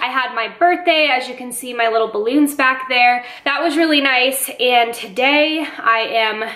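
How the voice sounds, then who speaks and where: A woman's high-pitched voice with hardly any pauses, plus audible room echo. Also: ordinary pitch variation, moderate pace. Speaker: lifestyle vlogger. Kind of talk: casual vlog chat. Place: kitchen. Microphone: phone near.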